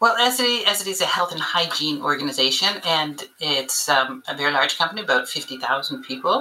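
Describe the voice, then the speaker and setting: With a Canadian accent, a woman talks at a moderate pace with hardly any pauses, her fairly low voice moving in very wide pitch swings over noticeable background noise. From Canada. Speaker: learning and development director. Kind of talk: podcast interview.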